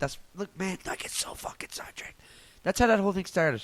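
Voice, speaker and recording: Loud, a man talks in a Newfoundland accent. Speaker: comedian podcaster. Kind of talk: casual solo podcast rant.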